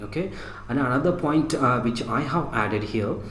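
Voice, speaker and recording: Noticeable background noise and audible room echo surround this recording. A man talks at a moderate pace and medium pitch. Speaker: teacher. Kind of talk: lecture. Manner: halting.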